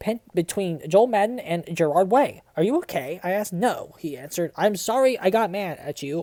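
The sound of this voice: The reading voice sounds unforced. Its intonation moves in a lively way.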